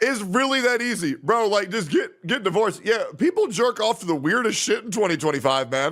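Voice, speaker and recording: A loud man with an animated tone, high pitch and very wide pitch swings, speaking at a fairly quick pace. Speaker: streamer. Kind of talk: casual reaction stream commentary.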